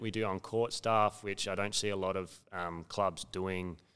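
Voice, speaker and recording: A man with a very deep, low voice speaks with an Australian accent on a very clean recording with a silent background. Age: 30s. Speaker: athletic development coach. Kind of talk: casual chat.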